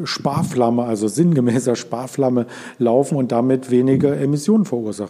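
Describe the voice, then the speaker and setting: Against noticeable background noise, a man speaks at a moderate pace and medium pitch. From Berlin area. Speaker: podcast host. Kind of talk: interview.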